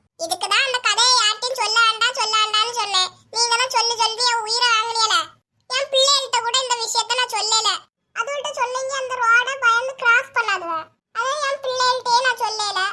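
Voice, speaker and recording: This is a cartoonish character voice at an extremely high pitch. The pace is moderate. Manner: bossy, insists on no interruptions.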